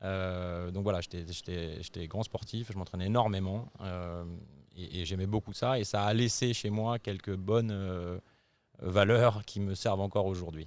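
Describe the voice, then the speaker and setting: On a very clean recording with a silent background, a man with a very deep, low pitch speaks at a fairly slow pace with fairly even intonation. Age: 40s. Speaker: company CEO and co-founder. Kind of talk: interview. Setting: company headquarters office in Paris. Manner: hesitant, many filler sounds.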